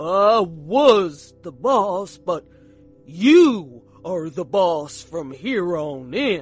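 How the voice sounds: A man's put-on character voice, high in pitch, at a very slow pace with very wide pitch swings and big swings in loudness, faint music in the background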